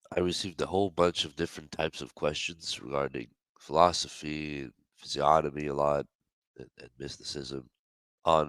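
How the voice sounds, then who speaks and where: With a very deep, low pitch, a man talks at a moderate pace, his pitch varying in an ordinary way while his loudness swings widely. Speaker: online spiritual teacher and face reader. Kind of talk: live audio space Q&A talk. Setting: online audio space. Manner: halting, with many fillers.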